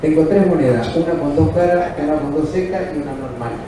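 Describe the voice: Audible room echo surrounds a man talking at a fairly quick pace in a fairly high pitch.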